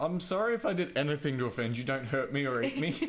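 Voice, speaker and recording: At a fairly quick pace, a man with an Australian accent swings very widely in pitch over noticeable background noise. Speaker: gaming video host. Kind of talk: casual chat. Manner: animated.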